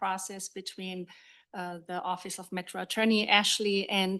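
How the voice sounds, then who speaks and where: Against a quiet background, a woman talks at a fairly slow pace in a medium pitch with monotone, flat intonation. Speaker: procurement manager. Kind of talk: public meeting presentation. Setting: government council meeting.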